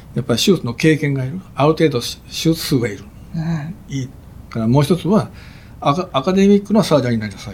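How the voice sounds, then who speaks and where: Somewhat breathy, a man talks at a very fast pace with big swings in loudness. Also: fairly high pitch for a man, lively intonation. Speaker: pediatric heart surgeon. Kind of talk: interview.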